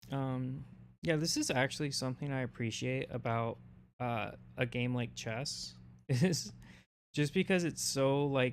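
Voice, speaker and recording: On a very clean recording with a silent background, a soft-spoken man talks at a fairly slow pace with long, frequent pauses. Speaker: streamer. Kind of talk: casual chat. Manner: halting.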